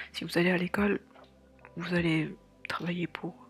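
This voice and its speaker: Moderately paced speech over music in the background. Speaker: artist / illustrator vlogger. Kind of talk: casual talk to camera. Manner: whispered, quiet, relaxed.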